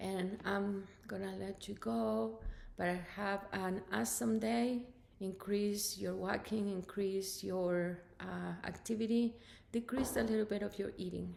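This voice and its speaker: With an unremarkable speaking voice, a woman at a medium pitch talks fairly slowly, with ordinary pitch variation. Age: 60s. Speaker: fitness instructor. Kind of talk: workout instruction and casual vlog talk. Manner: casual, chatty.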